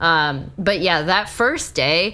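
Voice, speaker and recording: A woman's fairly low voice, bright and sharp in tone, at a very slow pace. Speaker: esports analyst and podcast co-host. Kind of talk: casual chat. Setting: home apartment, remote.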